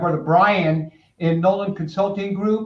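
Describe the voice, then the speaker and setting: The speaker is a man whose voice sits at a high pitch. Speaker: business owner and consultant. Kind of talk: webinar presentation. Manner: fast.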